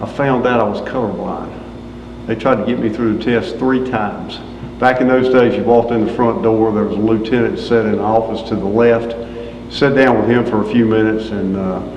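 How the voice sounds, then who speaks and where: Amid noticeable background noise and audible room echo, a man with a North Carolina accent talks at a fairly quick pace, with a medium pitch and fairly even intonation. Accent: North Carolina Southern. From North Carolina (Greensboro). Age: 60s. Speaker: retired fire chief. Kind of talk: oral history interview.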